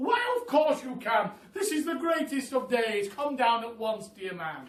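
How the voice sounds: With audible room echo, a man puts on a character voice at extremely high pitch, using big pitch swings at a fairly slow pace.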